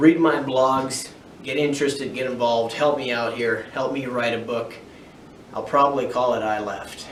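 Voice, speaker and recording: Amid noticeable background noise and audible room echo, a man at medium pitch talks at a moderate pace with fairly even intonation. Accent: American. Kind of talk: personal testimony vlog. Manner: halting.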